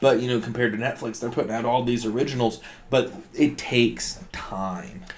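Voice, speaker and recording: A man talks at a medium pitch while noticeable background noise plays behind him. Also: ordinary pitch variation. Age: 30s. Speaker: podcast co-host. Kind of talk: casual chat.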